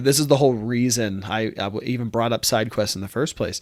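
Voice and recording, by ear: Fast pace and fairly even intonation on a very clean recording with a silent background. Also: man.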